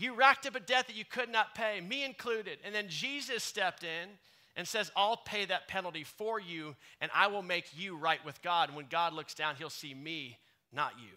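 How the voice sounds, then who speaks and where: A man's high, bright, sharp, raised, projected voice with lively intonation and big swings in loudness. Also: moderate pace. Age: 30s. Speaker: pastor. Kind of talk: contemporary church sermon, conversational and direct, addressing the congregation. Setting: church service with live congregation. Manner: warm, casual and earnest, with filler ums and uhs; emphatic, punchy repetition to drive points home.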